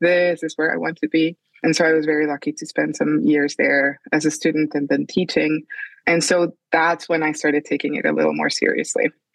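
Dry and close with no echo, a woman's voice in a Spanish accent moves at a fairly quick pace. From Colombia, Bogota. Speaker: children's book author and illustrator. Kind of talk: interview. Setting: remote call.

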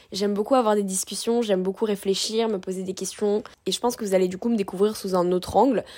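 Her tone is animated, and this woman moves at a fairly quick pace. She has a medium pitch with ordinary variation. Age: 20s. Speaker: podcast host and food content creator. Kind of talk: solo podcast monologue.

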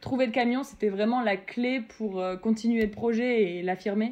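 A woman speaks in an ordinary speaking voice at a fairly high pitch. Her pace is moderate and her intonation fairly even. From France, Metz (Lorraine). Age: 20s. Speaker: food truck owner, former surgical nurse. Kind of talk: casual interview.

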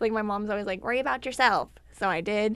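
Over a quiet background, a woman with an unremarkable speaking voice talks at a fairly quick pace in a fairly high pitch. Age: 20s. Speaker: college student. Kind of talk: casual chat.

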